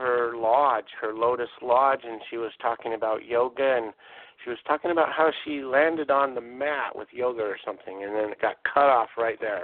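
In a plain, everyday voice, a man speaks at a moderate pace. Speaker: radio show host. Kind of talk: casual interview chat.

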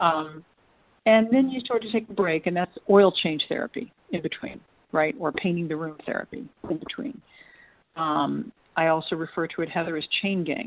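In an American accent, an unremarkable speaking voice moves at a moderate pace with lively intonation. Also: woman, fairly low pitch for a woman. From United States. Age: 60s. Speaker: trafficking survivor and women's advocate. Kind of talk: interview.

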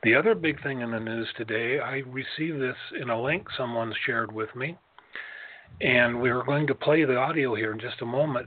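Against noticeable background noise, a man talks at a fairly quick pace. His pitch is medium, with ordinary variation. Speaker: pastor. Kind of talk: intercessory prayer.

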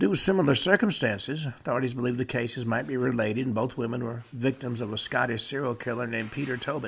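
With music in the background, a man delivers his words in a deadpan tone at medium pitch and a very fast pace. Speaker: radio show host. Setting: studio. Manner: matter-of-fact, deadpan with occasional wry asides.

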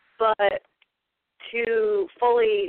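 The voice belongs to a woman. She talks with monotone, flat intonation. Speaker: women's group member. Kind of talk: personal testimony. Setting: phone call, from a group gathering.

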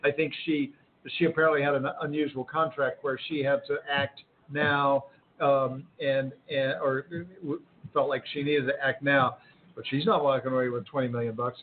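This man's voice sits fairly high in pitch, moving at a moderate pace. His intonation stays monotone and flat. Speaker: political commentator. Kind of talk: panel discussion. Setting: restaurant.

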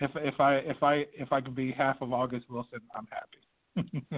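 Using a plain, everyday voice, a man talks at a fairly slow pace and medium pitch with fairly even intonation and hardly any pauses. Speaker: playwright. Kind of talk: casual interview.

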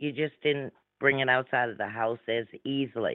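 A woman speaks with a very deep, low pitch and ordinary pitch variation. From New Orleans, Louisiana. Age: 60s. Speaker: radio show guest, psychic medium. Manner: speaks slowly and deliberately.

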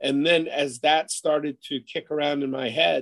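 This man has an unremarkable speaking voice with an American accent and a fairly high pitch. He talks at a moderate pace, and the sound is dry and close with no echo. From Buffalo, New York area. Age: 40s. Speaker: college football coach. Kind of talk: interview.

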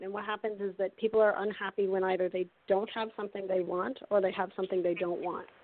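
With a Canadian accent, a woman talks at a fairly quick pace and a medium pitch. Hers is an ordinary speaking voice. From Canada. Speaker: happiness coach and author. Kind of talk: interview.

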